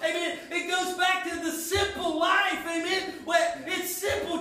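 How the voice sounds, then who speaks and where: Extremely high-pitched male voice, raised and projected, bright and sharp in tone, at a moderate pace amid audible room echo. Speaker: youth pastor. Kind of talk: sermon. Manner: halting.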